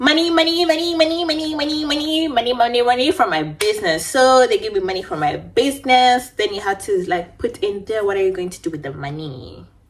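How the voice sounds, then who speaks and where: Against noticeable background noise, a woman speaks at a fairly quick pace with hardly any pauses, her high voice animated, with very wide pitch swings and big swings in loudness. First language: not English. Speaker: beauty vlogger. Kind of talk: casual storytime chat. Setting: at home.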